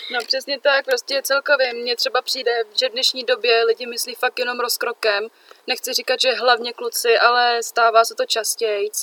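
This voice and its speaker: A woman speaks in a high pitch with a bright, sharp tone and monotone, flat intonation. The sound is dry and close, with no echo. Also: moderate pace. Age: young. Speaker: podcast co-host. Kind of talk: casual chat.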